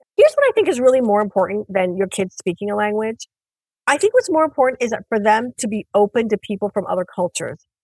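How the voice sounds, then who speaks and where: A woman with an American accent, fairly high pitch and ordinary pitch variation, at a very fast pace, in a dry, close sound with no echo. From Iran, raised in the US. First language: Persian. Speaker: author. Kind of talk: interview.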